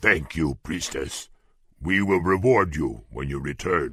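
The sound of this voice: In a very clean recording with a silent background, a man performs a put-on character voice at an extremely low pitch, slow in pace with lively intonation, a fairly bright tone and a slightly husky edge.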